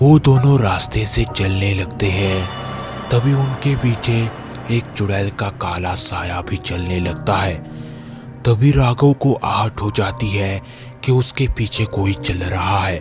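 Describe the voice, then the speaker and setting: Over clear music in the background, a man does a cartoonish character voice at a fairly low pitch and a fairly slow pace. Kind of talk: horror storytelling narration.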